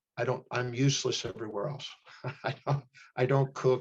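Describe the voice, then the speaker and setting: At a moderate pace, a man with a medium pitch talks with fairly even intonation and a somewhat breathy sound. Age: 60s. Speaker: human behavior specialist and teacher. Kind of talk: interview.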